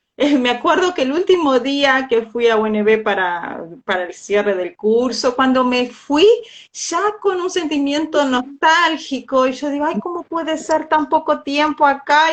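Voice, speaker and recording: Speaking with a Portuguese accent, a woman uses a high pitch, a fairly slow pace and lively intonation. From Brazil, Uruguay border (Livramento). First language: Portuguese (speaking Spanish). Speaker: language teacher. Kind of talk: casual chat.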